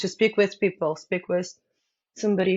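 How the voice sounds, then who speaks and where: A woman with a Ukrainian accent speaks in a fairly low pitch. Her intonation is monotone and flat. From Ukraine. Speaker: business owner. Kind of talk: interview. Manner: halting.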